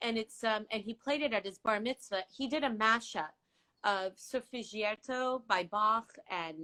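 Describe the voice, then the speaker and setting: In an Iranian accent, the speaker goes at a fairly slow pace with a bright, sharp tone, recorded dry and close with no echo. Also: woman, fairly high pitch for a woman, ordinary pitch variation. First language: Farsi. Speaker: interview guest. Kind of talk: casual chat.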